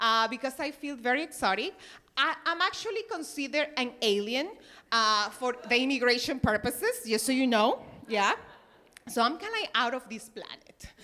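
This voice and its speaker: Raising and projecting her voice, a woman with a strong Peruvian accent speaks at a high pitch and a moderate pace, her tone bright and sharp and her intonation lively. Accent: thick Peruvian Spanish. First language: Spanish. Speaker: stand-up comedian. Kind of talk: stand-up. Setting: stage with audience.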